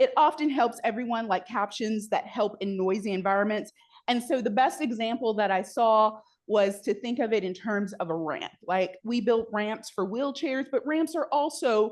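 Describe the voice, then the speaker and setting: A woman with a fairly high pitch speaks in a plain, everyday voice at a moderate pace, her intonation lively over a quiet background. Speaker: university accessibility trainer. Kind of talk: presentation to staff.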